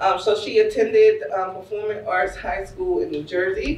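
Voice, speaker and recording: A woman talks at a moderate pace, with audible room echo around her. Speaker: after-school program director. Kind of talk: speaker introduction. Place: hall. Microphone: camera far.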